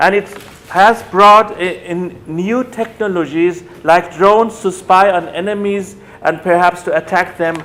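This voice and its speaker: With a German accent, a man speaks high for a man, at a fairly slow pace and with fairly even intonation, over noticeable background noise. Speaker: academic lecturer on human rights. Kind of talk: lecture. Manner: halting, with self-corrections.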